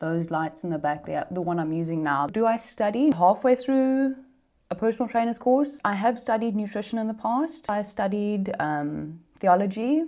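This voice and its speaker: A woman's fairly high voice with a South African accent, dark and mellow in tone, very wide pitch swings, moderate pace. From South Africa, Gauteng. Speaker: content creator. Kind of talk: casual Q&A vlog. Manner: animated.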